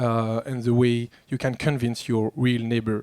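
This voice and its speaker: Speaking with a French accent, a man uses a medium pitch. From France. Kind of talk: panel discussion. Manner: halting.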